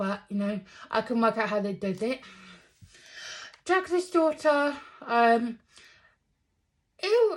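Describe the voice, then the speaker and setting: A woman with a fairly high pitch speaks at a fairly slow pace, her pitch swinging very widely between long, frequent pauses. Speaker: movie reviewer. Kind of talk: casual review monologue. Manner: hesitant, many fillers.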